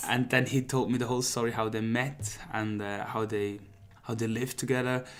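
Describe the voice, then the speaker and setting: A man speaks at a fairly quick pace. His medium pitch stays monotone, with flat intonation. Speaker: singer-songwriter. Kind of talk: interview answer.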